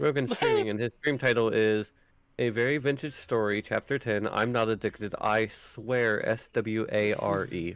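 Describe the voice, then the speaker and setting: Moderate pace, medium pitch and fairly even intonation from a man with an ordinary speaking voice. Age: 30s. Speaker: streamer. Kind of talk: casual chat. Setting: voice call.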